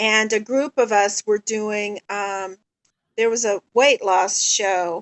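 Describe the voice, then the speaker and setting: A woman's fairly high-pitched voice at a very slow pace, with fairly even intonation. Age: 60s. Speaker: stroke survivor. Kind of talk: testimony. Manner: hesitant, many fillers.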